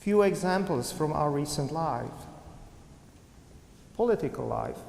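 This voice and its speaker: This man speaks with a high pitch. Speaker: Presbyterian minister, preacher. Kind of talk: sermon delivered to a congregation.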